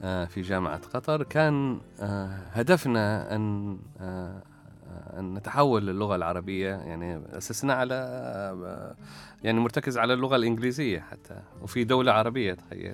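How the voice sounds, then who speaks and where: Lively intonation marks this man's speech at a fairly slow pace. His loudness swings widely. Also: fairly low pitch for a man. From Oman, Salalah (Dhofar). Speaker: academic researcher. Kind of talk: interview. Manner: halting.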